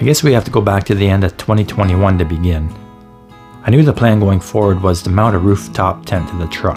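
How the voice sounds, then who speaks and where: With a Canadian accent, a man talks very fast in a fairly low pitch with ordinary pitch variation while music plays in the background. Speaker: overlanding vlogger. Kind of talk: year-in-review voiceover narration.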